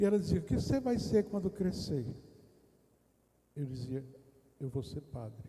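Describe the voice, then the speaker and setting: A man with a fairly high pitch and a dark, mellow tone sounds somewhat breathy. He talks at a moderate pace with very wide pitch swings and long, frequent pauses. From Brazil, interior of Rio Grande do Norte (Northeast). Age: 60s. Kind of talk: testimony. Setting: retreat round-table discussion in a parish.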